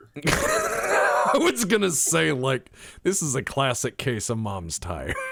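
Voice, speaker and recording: A man with a Texan accent and a medium pitch speaks very slowly, his pitch swinging very widely. Background noise is noticeable. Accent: Texan American. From Texas. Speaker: gaming podcast host. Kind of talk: casual chat.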